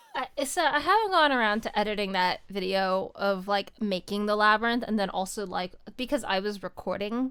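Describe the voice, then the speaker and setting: Against noticeable background noise, a woman at medium pitch talks at a moderate pace with ordinary pitch variation and hardly any pauses. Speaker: streamer. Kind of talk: casual chat.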